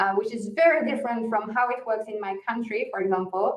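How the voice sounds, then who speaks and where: Speaking with a Walloon accent, a woman keeps a moderate pace in a fairly high pitch with ordinary pitch variation. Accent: French-speaking Belgian. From Belgium. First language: French. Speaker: author. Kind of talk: podcast interview. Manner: hesitant fillers (uh, um).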